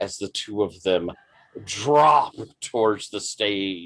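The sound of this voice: Lively intonation shapes an unforced reading voice.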